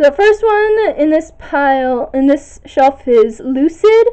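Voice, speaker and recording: A woman speaks at a very slow pace in a high voice with very wide pitch swings. The background is quiet. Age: young (19). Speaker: video blogger. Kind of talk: bookshelf tour listing titles. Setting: home recording on camera, echoey room. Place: home room. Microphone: phone near.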